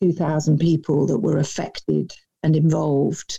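The woman's tone is dark and mellow. She talks at a fairly slow pace. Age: 50s. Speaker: author and keynote speaker. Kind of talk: interview. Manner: poised.

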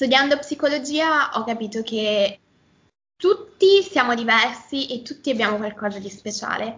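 With a Milanese accent, a woman uses a high pitch and lively intonation while speaking at a fairly slow pace. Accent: Milanese, open e vowels. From northern Italy, near Milan (Lombardy). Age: 20s. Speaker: Italian teacher. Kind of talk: casual interview.

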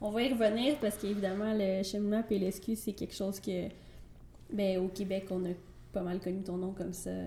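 At medium pitch and a moderate pace, a woman speaks with fairly even intonation and long, frequent pauses. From Quebec, Trois-Rivières. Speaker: podcast host. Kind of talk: interview.

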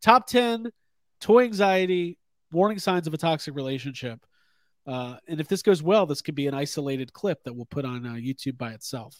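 On a very clean, dry recording with a silent background and no echo, a man speaks at a fairly quick pace and fairly high pitch. His pitch swings very widely and his loudness shifts in big swings. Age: 30s. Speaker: toy podcast host. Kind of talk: casual chat. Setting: live stream.

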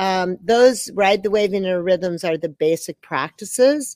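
Very slowly, a woman speaks at a medium pitch with very wide pitch swings, in a dry, close sound with no echo. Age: 60s. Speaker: movement teacher and creator of a dance system. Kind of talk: interview answers, casual conversation. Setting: online video call.

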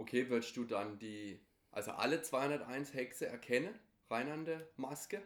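At a fairly slow pace, a man of medium pitch talks with lively intonation in an unremarkable speaking voice. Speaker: podcast host. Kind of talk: interview.

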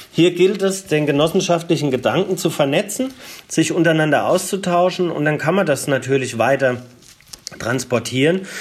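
Against noticeable background noise, a man speaks at a moderate pace with a fairly high pitch and very even loudness. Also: ordinary pitch variation. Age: 40s. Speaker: energy cooperative founder and CEO. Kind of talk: interview. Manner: frequent filler hesitations.

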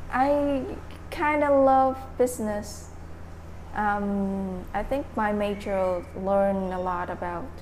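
A woman with a Vietnamese accent speaks at a very slow pace. There is audible room echo and noticeable background noise. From Vietnam, Dak Lak province. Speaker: English conversation club organizer. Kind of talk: casual interview. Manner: halting, frequent fillers.

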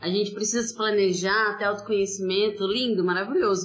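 A woman speaks at a fairly quick pace with a medium pitch and ordinary pitch variation, with noticeable background noise behind her. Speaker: podcast host. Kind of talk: casual interview chat. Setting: remote recording during pandemic. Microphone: poor audio quality, heavily edited.

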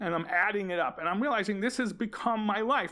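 A man's raised, projected voice on a very clean recording with a silent background. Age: 50s. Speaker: math teacher. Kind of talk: casual chat. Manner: halting.

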